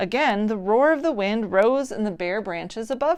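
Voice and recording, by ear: Someone is reading aloud in a natural voice here.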